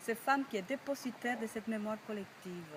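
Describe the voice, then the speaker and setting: A woman talks with fairly high pitch and ordinary pitch variation. Noticeable background noise is present. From Cuba. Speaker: storyteller. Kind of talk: project presentation to camera.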